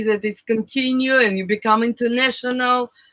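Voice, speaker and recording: Someone with a non-native accent talks at a moderate pace. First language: not English. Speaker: recording artist and former show host. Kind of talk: casual chat.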